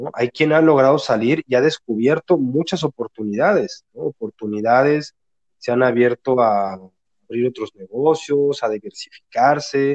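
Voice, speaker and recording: A man's unremarkable speaking voice, medium in pitch with ordinary variation, at a fairly slow pace, with a dry, close sound and no echo. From Mexico City. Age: 40s. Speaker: regression therapist. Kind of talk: interview.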